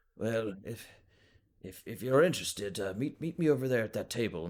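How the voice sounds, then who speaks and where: A man puts on a raspy character voice at a medium pitch. He talks at a fairly quick pace with lively intonation and big swings in loudness. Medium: actual play. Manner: polite, hesitant, old-fashioned courtesy.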